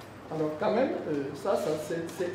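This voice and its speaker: Very slow male speech amid noticeable background noise and audible room echo. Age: 70s. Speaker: elder statesman speaking at civic forum. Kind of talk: public address. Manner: halting, many hesitations.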